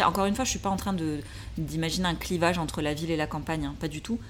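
A woman talks with audible echo from the room. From southwestern France, Ariège. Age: 30s. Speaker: urban farmer and content creator. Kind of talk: interview. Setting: at home in Paris.

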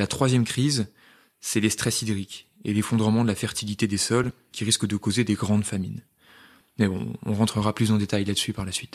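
Fairly low in pitch, a man talks at a fairly quick pace in a monotone, flat intonation. The recording is very clean, silent behind him, with a dry, close sound and no echo. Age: 20s. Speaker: podcast co-host, medical resident. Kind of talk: scripted dialogue.

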